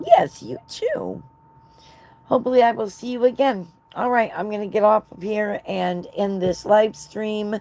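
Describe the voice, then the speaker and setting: Speaking with an American accent, a woman has an unremarkable speaking voice at a fairly high pitch and a fairly slow pace. Her pitch varies in an ordinary way while her loudness swings a lot. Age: 60s. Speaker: knitting livestreamer. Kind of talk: casual chat. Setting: live stream.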